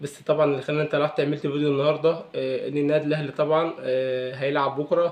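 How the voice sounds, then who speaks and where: A man's fairly high-pitched, very fast, monotone and flat delivery amid noticeable background noise. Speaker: football commentator youtuber. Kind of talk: casual vlog. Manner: hesitant with fillers.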